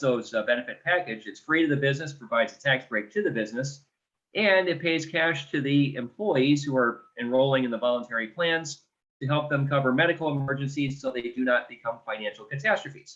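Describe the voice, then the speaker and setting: A man with an American accent speaks in an unremarkable speaking voice, pitched fairly high. His pitch varies in an ordinary way at a fairly quick pace. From Detroit, US Midwest. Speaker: benefits provider. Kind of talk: business pitch. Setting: video call.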